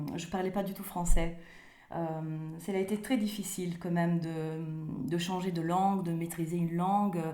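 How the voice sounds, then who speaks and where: A woman's dark, mellow voice at a medium pitch, with ordinary pitch variation, a moderate pace and audible room echo. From Italy, Rome. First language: Italian (speaking French). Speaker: author. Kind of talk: interview. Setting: remote call. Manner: halting, many hesitations.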